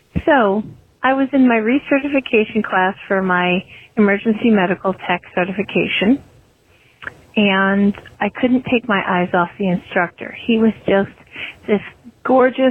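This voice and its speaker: A woman's plain, everyday voice of medium pitch, fairly slow, with ordinary pitch variation and very even loudness. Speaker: listener leaving voicemail. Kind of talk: voicemail message. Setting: phone call.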